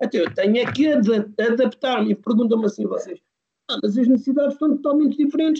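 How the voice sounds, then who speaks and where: A man talks at a very fast pace in an extremely high pitch. His tone is dark and mellow. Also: ordinary pitch variation. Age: 40s. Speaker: youth football coach. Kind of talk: podcast interview. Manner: halting, many fillers.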